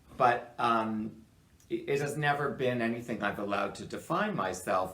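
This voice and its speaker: A man's medium-pitched voice at a moderate pace, lively in intonation, with audible room echo. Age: 60s. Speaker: retiring media commentator. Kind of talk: casual chat.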